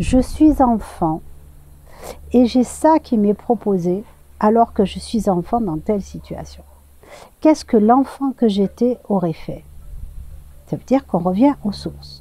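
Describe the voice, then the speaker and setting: Somewhat breathy with a dark, mellow tone, the voice moves at a very slow pace with long, frequent pauses. Its loudness swings widely. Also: woman, medium pitch for a woman. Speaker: tarot and oracle card reader. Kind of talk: channeled guidance message. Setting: outdoors. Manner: hesitant, many fillers.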